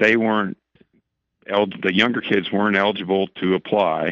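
A man's fairly low voice at a fairly slow pace, dry with no echo, over a quiet background. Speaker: wildlife agency regional supervisor; radio guest. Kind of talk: radio interview. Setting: phone call. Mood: calm explanatory. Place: studio. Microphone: studio mic.

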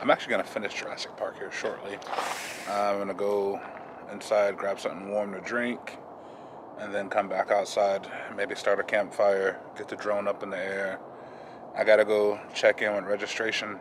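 Noticeable background noise surrounds a man who speaks at a moderate pace in a flat monotone, leaving long, frequent pauses, the sound dry with no echo. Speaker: RV travel vlogger. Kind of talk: casual vlog chat. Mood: cheerful, joking. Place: forest. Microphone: phone near.

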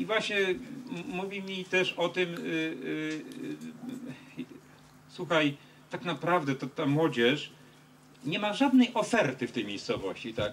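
A man with a high-pitched voice speaks at a very slow pace, his pitch swinging very widely, with long, frequent pauses over light background noise. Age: 50s. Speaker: politician. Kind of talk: meeting with fans. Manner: halting. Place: street. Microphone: handheld.

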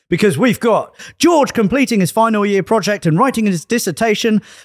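Against a quiet background, a man speaks at a fairly quick pace with a dry sound and no echo. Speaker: podcast host. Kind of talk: casual podcast chat. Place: garage. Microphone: studio mic.

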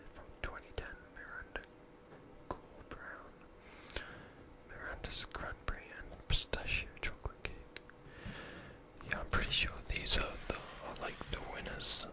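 Someone whispers at a fairly slow pace with long, frequent pauses. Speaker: ASMR creator. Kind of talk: ASMR whispered book reading, relaxed casual commentary. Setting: binaural microphone recording. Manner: whispered, soft-spoken.

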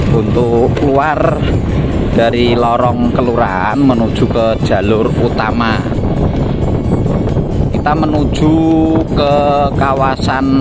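With music in the background, the speech moves at a very slow pace with long, frequent pauses. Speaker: vlogger narrating a ride. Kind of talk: casual vlog commentary. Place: motorbike.

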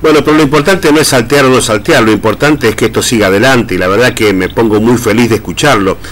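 Intonation is lively as a man talks at a very fast pace. His loudness stays very even throughout. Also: hardly any pauses. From Argentina. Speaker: radio host. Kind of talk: casual radio chat. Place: studio.

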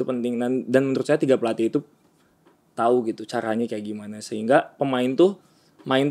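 Speaking at a fairly quick pace, a man uses ordinary pitch variation. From West Java, Bandung; West Java. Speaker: basketball player; interviewee. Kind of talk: casual interview. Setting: hotel room. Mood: relaxed, reflective. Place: home room. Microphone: studio mic.

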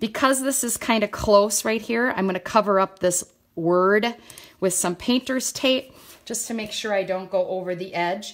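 Her pitch varies in an ordinary way as the woman speaks at a moderate speed. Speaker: craft demonstrator. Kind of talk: live tutorial. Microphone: phone near.

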